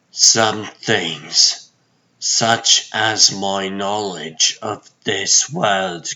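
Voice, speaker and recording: A man puts on a character voice at a fairly low pitch. He speaks very slowly with fairly even intonation. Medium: fan dub. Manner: formal, grave.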